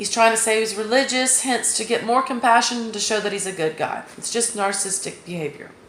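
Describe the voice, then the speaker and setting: Against noticeable background noise, a woman with an American accent talks at a fairly quick pace with hardly any pauses. Her pitch is fairly high, with ordinary variation. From US South. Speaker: true crime commentator. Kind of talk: casual monologue.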